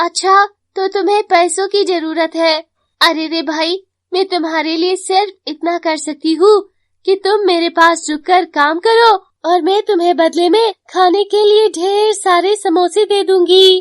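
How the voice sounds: A cartoonish character voice from a woman, extremely high in pitch, at a fairly slow pace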